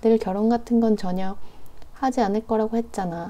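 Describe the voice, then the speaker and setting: Soft-spoken and at a moderate pace, a woman talks with a dark, mellow tone and a fairly high pitch. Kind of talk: novel reading. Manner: soft-spoken, quiet.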